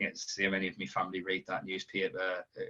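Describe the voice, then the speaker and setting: Speaking at a very fast pace in a strong Sunderland accent, a man with a very deep, low pitch keeps a monotone, flat intonation and a bright, sharp tone. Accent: strong Sunderland (Mackem). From northern England, Sunderland. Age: 20s. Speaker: football reporter. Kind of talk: podcast interview. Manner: halting, many repetitions and fillers.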